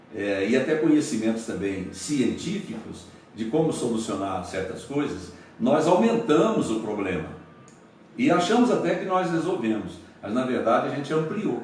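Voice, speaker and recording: A man's voice at a moderate pace with very wide pitch swings, amid noticeable background noise and audible room echo. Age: 70s. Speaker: pastor. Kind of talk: radio interview. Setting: radio studio, broadcast live.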